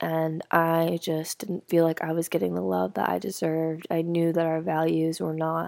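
With a dark, mellow tone and fairly low pitch, a woman talks at a fairly slow pace in a very clean recording with a silent background. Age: 20s. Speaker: solo podcaster. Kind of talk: casual chat.

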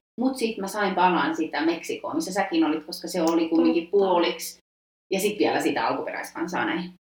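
This woman talks at a fairly quick pace in a plain, everyday voice, fairly low in pitch with ordinary pitch variation. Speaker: history student, former exchange student. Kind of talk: casual chat. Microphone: poor sound quality.

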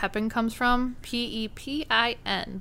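A woman speaks with a Minnesotan accent. Her tone is bright and sharp, her pitch fairly high. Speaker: podcast host. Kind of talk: casual chat.

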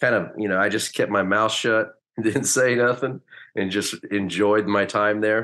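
A man with an ordinary speaking voice and an American accent, fairly low in pitch, fairly slow and fairly even in intonation, against a quiet background. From US West Coast, Hayward area of California, later rural Oklahoma. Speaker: former professional baseball player. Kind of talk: casual interview.

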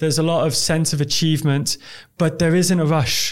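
At a moderate pace, a man talks in a fairly high pitch with monotone, flat intonation. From Dubai expat upbringing. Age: 30s. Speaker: real estate business owner. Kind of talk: interview.

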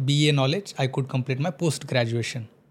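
This is a man with a somewhat breathy voice. Nothing sounds behind him, and the recording is very clean. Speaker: Sanskrit scholar and teacher. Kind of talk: interview. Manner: halting.

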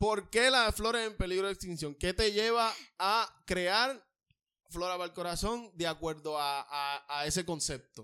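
Raised and projected, a man's high-pitched voice has a bright, sharp, animated tone. He speaks at a fairly slow pace. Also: lively intonation. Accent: Puerto Rican. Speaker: podcast co-host, artist. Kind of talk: casual chat.

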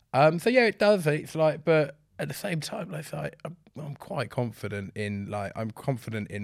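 A man at a fairly quick pace in a very clean recording with a silent background. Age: 30s. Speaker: creative director. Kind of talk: casual chat. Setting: studio. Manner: animated.

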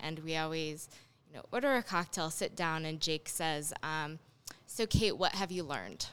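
In an ordinary speaking voice, a woman with a fairly low pitch talks at a moderate pace with lively intonation. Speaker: spirits importer and distributor. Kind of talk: casual chat.

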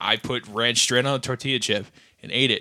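In an American accent, a man speaks at a fairly quick pace and medium pitch. His tone is bright and sharp, and the recording is very clean with a silent background. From rural Wisconsin. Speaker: podcast co-host. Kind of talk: casual chat.

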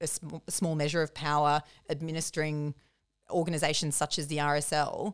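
In an Australian accent, a woman speaks with a very deep, low pitch on a very clean recording over a silent background. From country New South Wales, Australia. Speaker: comedian and journalist. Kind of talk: casual chat.

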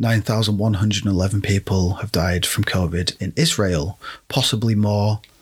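Speaking with a British accent, a man has a fairly low, somewhat breathy voice and ordinary pitch variation. The recording is very clean with a silent background. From Britain. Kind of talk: solo commentary podcast. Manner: casual, rambling with fillers.

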